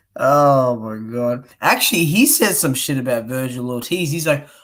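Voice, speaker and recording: With an Australian accent, a man speaks at a moderate pace on a very clean recording with a silent background. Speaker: boxing YouTuber, live streamer. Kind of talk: casual chat. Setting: live stream. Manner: animated.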